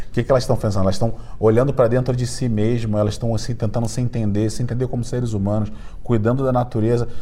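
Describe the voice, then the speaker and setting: In a Rio de Janeiro accent, a dark, mellow, somewhat breathy voice rushes at a very fast pace in a flat monotone. Audible room echo surrounds it. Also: man, medium pitch for a man. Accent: carioca (Rio de Janeiro). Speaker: entrepreneur and startup mentor. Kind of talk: podcast interview. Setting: recording at a conference event.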